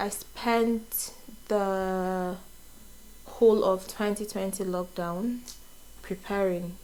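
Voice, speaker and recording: In a Nigerian accent, a woman speaks at a very slow pace with a medium pitch. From Nigeria, Enugu State. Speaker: vlogger, nurse. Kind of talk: casual get-to-know-me vlog. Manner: casual, hesitant with fillers.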